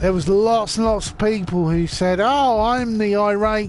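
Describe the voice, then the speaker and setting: This speaker has a British accent. He talks fairly slowly. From UK. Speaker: gamer streamer. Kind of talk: casual live stream chat. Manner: halting, repetitive.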